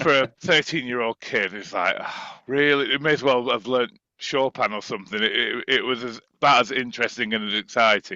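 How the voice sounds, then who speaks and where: In a northern English accent, a man speaks at a medium pitch and a moderate pace with ordinary pitch variation. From northern England, Preston. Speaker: musician and composer. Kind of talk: interview.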